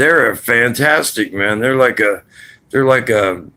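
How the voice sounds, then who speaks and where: This man has a bright, sharp tone and speaks at a fairly slow pace in a very clean recording with a silent background. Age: 60s. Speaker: vlogger. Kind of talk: casual monologue. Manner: rambling conversational.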